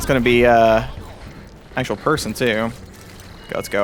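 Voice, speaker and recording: There is audible room echo along with noticeable background noise. Through it, a man speaks at a fairly quick pace. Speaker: gaming YouTuber. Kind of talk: gameplay commentary. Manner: casual, halting with many fillers.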